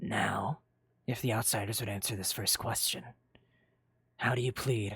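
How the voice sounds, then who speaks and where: In a put-on character voice, a raspy man speaks at a moderate pace and a medium pitch. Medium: machinima. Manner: formal, stern, authoritative.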